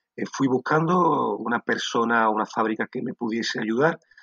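This man has a plain, everyday voice with ordinary pitch variation and a moderate pace. The sound is dry and close, with no echo. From Andalusia, Sanlúcar de Barrameda (Cádiz). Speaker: food company founder. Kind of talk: interview.

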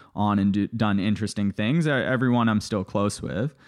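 A man's fairly low-pitched, unremarkable speaking voice at a fairly quick pace with ordinary pitch variation. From Canada (Toronto), born in Bulgaria. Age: 20s. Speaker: former private equity investor. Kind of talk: interview.

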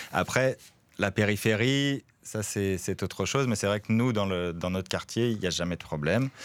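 A man's fairly low voice at a moderate pace with ordinary pitch variation, on a very clean recording with a silent background. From France. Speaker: neighbourhood resident and volunteer. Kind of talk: radio interview.

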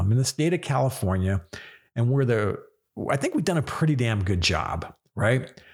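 Somewhat breathy, a man speaks at a moderate pace. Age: 50s. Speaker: radio show host. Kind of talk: solo monologue. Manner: emotional.

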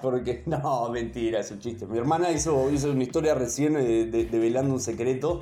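Over noticeable background noise, a man speaks at a fairly quick pace with hardly any pauses, using a medium pitch and ordinary pitch variation. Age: 30s. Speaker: DJ. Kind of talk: casual interview. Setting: remote call. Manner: halting.

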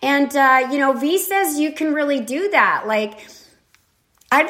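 A woman projects her voice in a raised manner. Her tone is bright and sharp, with a high pitch. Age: 60s. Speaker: podcast host. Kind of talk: casual spiritual monologue. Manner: rambling, many fillers.

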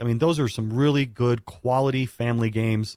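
The sound is dry and close with no echo. A man with an unremarkable speaking voice talks fairly quickly at a medium pitch. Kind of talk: radio co-host banter, upbeat segment-break patter. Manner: bright, punchy, jokey, chatty, broadcast-smooth.

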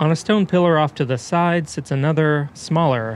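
Using a plain, everyday voice, a man talks at a moderate pace with a fairly high pitch and ordinary pitch variation. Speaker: radio reporter. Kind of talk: radio feature narration.

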